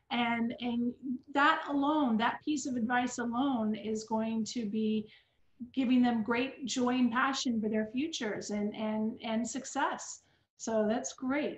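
This woman has a high voice and speaks at a very slow pace with fairly even intonation. The room echo is audible, and the background is quiet. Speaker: interviewer and school host; school interviewer host. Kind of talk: interview. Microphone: video call.

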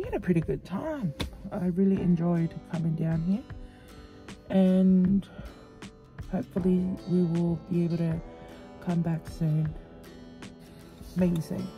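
Over clear background music, a woman speaks fairly slowly at a fairly low pitch with fairly even intonation, taking long, frequent pauses. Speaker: vlogger. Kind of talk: casual vlog chat. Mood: relaxed, content. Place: car. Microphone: phone near.

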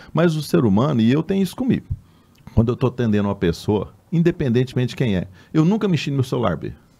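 The man talks at a very fast pace, with very wide pitch swings around a medium pitch. His tone is dark and mellow. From Brazil, Mato Grosso do Sul (Cassilândia); Mato Grosso do Sul, Brazil. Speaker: physician and political candidate; candidate. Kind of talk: interview. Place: studio. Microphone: studio mic.

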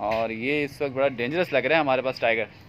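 A man speaks at a fairly quick pace. His tone is fairly bright, with ordinary pitch variation. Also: medium pitch for a man.

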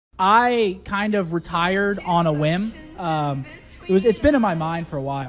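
Faint music plays in the background as a man speaks in a high pitch with ordinary pitch variation. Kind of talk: casual stream talk. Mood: reflective, relieved. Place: studio. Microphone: studio mic.

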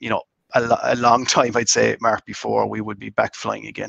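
A man with a Cork accent speaks in a dry sound with no echo and a quiet background. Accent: Irish (Cork). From Ireland, County Cork (Mitchellstown); County Cork, Ireland. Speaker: master distiller; guest. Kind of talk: casual interview chat. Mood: warm, enthusiastic. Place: home room. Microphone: video call.

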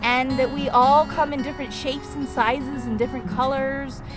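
Clear music plays in the background while a woman speaks. Her moderate-paced voice sounds dry, with no echo. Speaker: vlogger aunt. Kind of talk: casual vlog chat. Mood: warm, earnest. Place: open country. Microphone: phone near.

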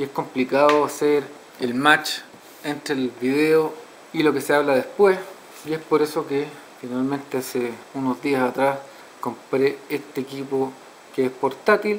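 Fairly slow, fairly even speech with long, frequent pauses over light background noise. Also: man. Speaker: product reviewer. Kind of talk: product review tutorial. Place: home room. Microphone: camera far.

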